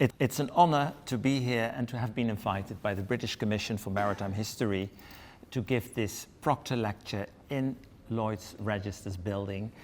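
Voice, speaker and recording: With a Dutch accent, a man speaks at a moderate pace in a fairly low pitch with ordinary pitch variation. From Netherlands. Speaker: history professor. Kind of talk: lecture. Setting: lecture room with audience. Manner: reading from text.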